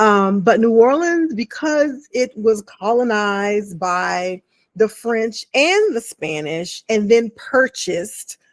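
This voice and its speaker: Speaking very slowly with an American accent, a woman uses a fairly high pitch and lively intonation in a dry, close sound with no echo. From DMV (Washington DC area). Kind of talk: casual video commentary. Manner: conversational, many fillers.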